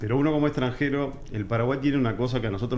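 Light background noise sits behind a man's voice. He talks at a very fast pace and a medium pitch. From Uruguay. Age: 40s. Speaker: political commentator. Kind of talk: interview. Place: studio. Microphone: studio mic.

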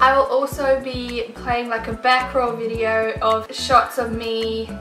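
A woman uses a raised, projected voice. There is light background noise and audible room echo. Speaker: home decor vlogger. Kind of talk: casual vlog chat. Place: home room.

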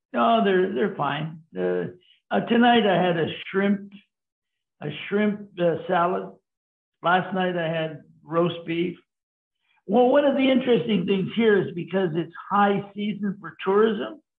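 A man with a high voice speaks fairly slowly with ordinary pitch variation and long, frequent pauses. The background is quiet, though audible room echo comes through. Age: 80s+. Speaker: senior cyclist on a bike tour; interviewee. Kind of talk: casual interview. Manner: halting, repeats words. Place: home room. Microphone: video call.

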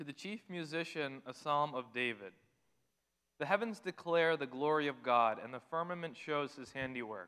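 Over a quiet background, a man with a bright, sharp tone talks at a moderate pace. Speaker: scripture reader. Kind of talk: scripture reading. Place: church. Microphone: podium.

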